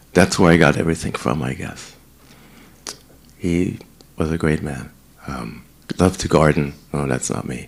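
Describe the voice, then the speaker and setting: This man has a German accent. His pitch is very deep and low. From Germany, Heidelberg. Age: 60s. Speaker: senior residence director. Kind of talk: talk to residents about himself.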